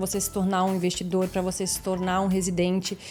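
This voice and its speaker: A woman speaks at a medium pitch and fairly quick pace. Her intonation is monotone and flat. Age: 30s. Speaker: podcast co-host, real estate agent. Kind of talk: podcast interview conversation.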